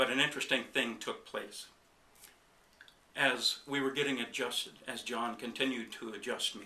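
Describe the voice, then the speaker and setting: Monotone and flat in intonation, a man at medium pitch speaks at a moderate pace with a bright, sharp tone and long, frequent pauses. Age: 60s. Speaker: chiropractic patient. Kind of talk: testimony. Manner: halting, with fillers.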